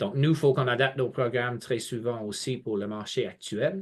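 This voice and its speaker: A man with a slight English accent at a fairly slow pace. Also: quiet background. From England. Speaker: college representative. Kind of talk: webinar presentation. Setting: online video webinar. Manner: hesitant, many fillers and repetitions.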